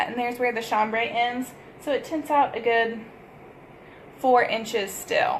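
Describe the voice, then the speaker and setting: High-pitched female speech at a fairly slow pace, with ordinary pitch variation and long, frequent pauses. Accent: strong Texas. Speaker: sewing pattern designer. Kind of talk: tutorial. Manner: casual, with many fillers.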